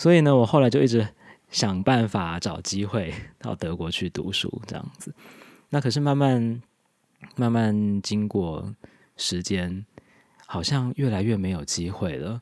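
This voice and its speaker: On a very clean recording with a silent background, a man speaks at a fairly low pitch and a fairly slow pace. His intonation is lively, broken by long, frequent pauses. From Taiwan. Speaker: immigrant spouse and language blogger. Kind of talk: casual interview.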